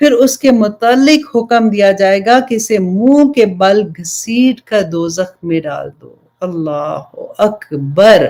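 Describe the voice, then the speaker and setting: A woman's dark, mellow tone at a fairly high pitch, with lively intonation. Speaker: Islamic preacher, religious teacher. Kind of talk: Islamic sermon (bayan) to an audience.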